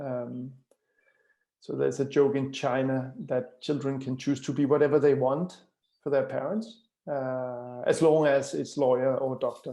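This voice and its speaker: A man with a Danish accent talks at a fairly slow pace in a dark, mellow tone, his pitch fairly high. His intonation stays fairly even against a quiet background. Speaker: author. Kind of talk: webinar talk. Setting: live online stream. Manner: hesitant with many fillers and repetitions.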